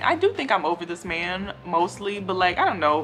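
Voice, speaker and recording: A woman's fairly low voice at a fairly quick pace. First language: not English. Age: 20s. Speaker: hair care YouTuber. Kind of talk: casual Q&A vlog. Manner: conversational with many fillers.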